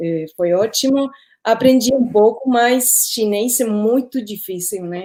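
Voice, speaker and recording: Someone with a Spanish accent speaks at a very slow pace. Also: woman. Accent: Spanish-speaker accent in Portuguese. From Uruguay. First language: Spanish (speaking Portuguese). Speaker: former radio journalist. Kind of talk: interview in a live stream. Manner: halting, searches for words.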